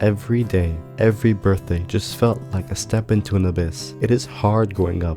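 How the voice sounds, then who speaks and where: With music in the background, a man with a very deep, low pitch speaks at a moderate pace, using lively intonation and hardly any pauses. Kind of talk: reflective personal narration.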